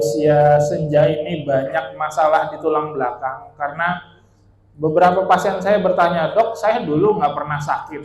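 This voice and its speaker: A man speaks fairly slowly with a Bekasi accent. His pitch varies in an ordinary way. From Bali, Indonesia. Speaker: orthopedic spine surgeon. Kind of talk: health talk to seniors. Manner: casual, conversational.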